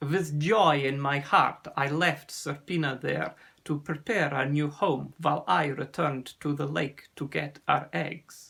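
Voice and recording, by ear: A man's put-on character voice, fairly high in pitch, with vocal fry, a fairly bright tone, a slightly husky edge, fairly even intonation and a fairly slow pace.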